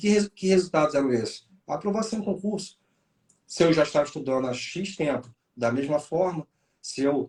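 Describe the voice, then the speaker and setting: A man speaks in a plain, everyday voice, fairly high-pitched, with lively intonation at a moderate pace. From Rio de Janeiro, Brazil. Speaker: police chief and exam mentor. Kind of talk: interview chat.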